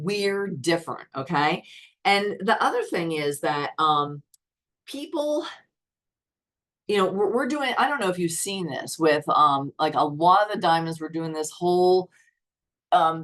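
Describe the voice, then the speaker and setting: Speaking fairly slowly with long, frequent pauses, a woman uses lively intonation in a fairly low voice. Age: 60s. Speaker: network marketing team leader. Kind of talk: motivational call. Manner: animated.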